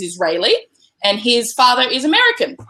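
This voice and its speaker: A woman speaks in a bright, sharp tone at a moderate pace. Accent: Australian. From Australia. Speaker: travel blogger and nomadic parent. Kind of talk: interview.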